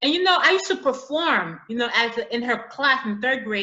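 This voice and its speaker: With an American accent, a woman talks at a fairly quick pace. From US inner city, Haitian family. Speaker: author and teacher. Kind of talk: interview. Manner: halting, repeats words.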